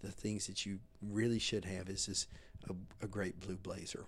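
A fairly low-pitched man with a Southern US accent, fairly even intonation and a moderate pace. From US South, Mississippi. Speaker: menswear designer and retailer. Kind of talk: interview. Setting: hotel.

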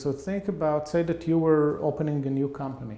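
A man speaks with an Israeli accent. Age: 50s. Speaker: behavioral economics professor. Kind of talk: interview.

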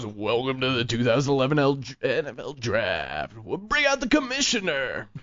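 A man's booming, put-on character voice at a fairly slow pace, with light background noise. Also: medium pitch for a man. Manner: booming, enthusiastic announcer delivery.

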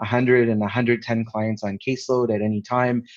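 A man with a Canadian accent and a normal speaking voice, medium in pitch, fairly even in intonation, at a moderate pace over a quiet background. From Canada. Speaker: palliative care physician and homeless health advocate. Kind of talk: casual interview chat.

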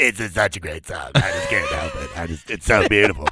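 A man puts on a character voice with a fairly low pitch. He talks at a fairly quick pace.

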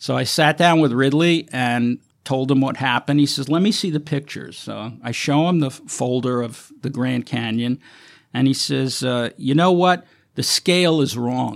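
An unremarkable speaking voice with an American accent and ordinary pitch variation. The recording is very clean, with a silent background. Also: man. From Brooklyn, New York. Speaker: film location manager. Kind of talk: interview.

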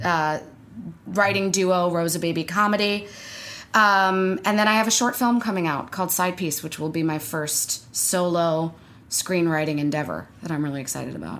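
A woman with a fairly low pitch and an unremarkable speaking voice talks at a moderate pace with ordinary pitch variation. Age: 20s. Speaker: actor and comedian. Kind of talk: casual interview chat.

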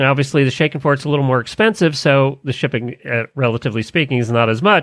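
On a very clean recording with a silent background, a man speaks in an animated tone, the sound dry and close with no echo. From Florida. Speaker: podcast host. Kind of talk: casual chat. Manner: jokey, animated.

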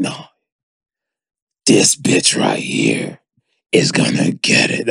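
Raspy and very slow, this is a put-on character voice. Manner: angry, furious.

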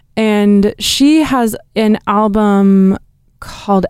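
A woman with a West Coast accent has a dark, mellow tone and fairly even intonation. The recording is very clean, with a silent background. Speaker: opera singer. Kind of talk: interview.

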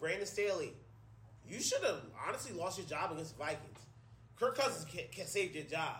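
Over noticeable background noise, a man with a high pitch talks at a fairly quick pace in an animated tone and lively intonation, broken by long, frequent pauses. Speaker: sports podcast host and teacher. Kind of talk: angry rant about coaches' play-calling, profanity-laden, emphatic. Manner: loud, fiery, hammering each point.

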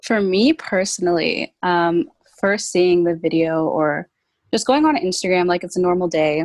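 A woman with a Canadian accent, a normal speaking voice, a fairly low pitch, ordinary pitch variation and a moderate pace. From Brampton, Ontario, Canada. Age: 20s. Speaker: guest, youth organization worker. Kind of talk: casual chat. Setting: video call.

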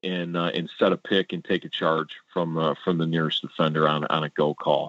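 A man with a Midwestern American accent talks at a moderate pace. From Warren, Michigan (Detroit suburb). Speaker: high school football coach. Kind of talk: interview. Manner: hesitant with fillers.

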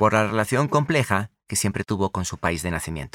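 Very wide pitch swings in a very clean recording, silent in the background, dry and close with no echo. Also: man. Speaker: podcast host. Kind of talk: scripted narration.

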